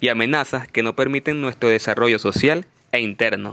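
A man with a Venezuelan accent speaks with fairly even intonation in a dry, close sound with no echo and a quiet background. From Venezuela, Valencia (Carabobo). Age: 20s. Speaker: university student and youth leadership trainer. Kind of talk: interview answers, prepared and formal. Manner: formal.

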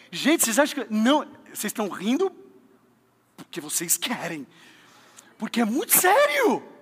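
A man with an extremely high, animated voice swings his pitch very widely and leaves long, frequent pauses. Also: moderate pace. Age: 30s. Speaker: pastor. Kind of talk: sermon. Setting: church with congregation.

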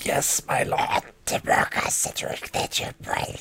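A raspy, put-on character voice whispers at a fairly slow pace. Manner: deferential.

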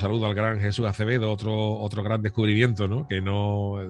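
Music plays in the background as a man speaks fairly quickly in a fairly low, monotone, flat voice. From Cádiz, Andalusia, Spain. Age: 50s. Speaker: radio presenter. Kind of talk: casual interview.

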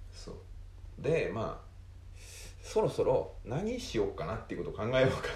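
A man talks at a moderate pace, his loudness swinging widely. Room echo is audible around him. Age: 30s. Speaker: podcast co-host, island resident. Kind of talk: casual chat.

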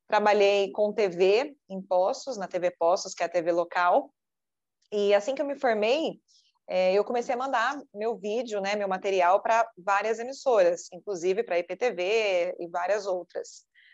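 With an ordinary speaking voice, a woman talks at a fairly slow pace and a medium pitch with ordinary pitch variation, over a quiet background. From Brazil, southern Minas Gerais. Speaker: TV news anchor and journalist. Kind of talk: interview.

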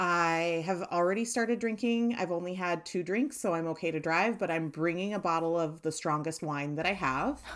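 A woman talks at a moderate pace with few pauses. Her raspy voice is fairly low, with ordinary pitch variation.

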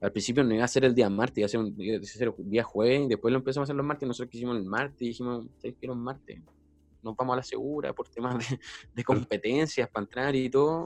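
A man with a Chilean accent at a very fast pace, his intonation fairly even. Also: medium pitch for a man. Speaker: DJ and party organizer. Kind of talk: casual chat.

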